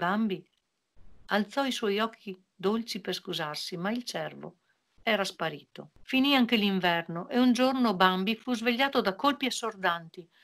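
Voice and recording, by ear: A woman speaks at a moderate pace with a medium pitch. Her tone is fairly bright, and her intonation is lively.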